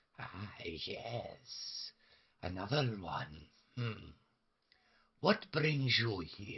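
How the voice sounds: Putting on a croaky character voice at a medium pitch, a man speaks very slowly with long, frequent pauses.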